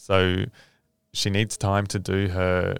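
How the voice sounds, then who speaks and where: On a very clean recording with a silent background, a man with an Australian accent speaks very slowly in a very deep, low, monotone, flat voice. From Western Australia (Southwest, Perth). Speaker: father and small business owner. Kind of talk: casual interview chat.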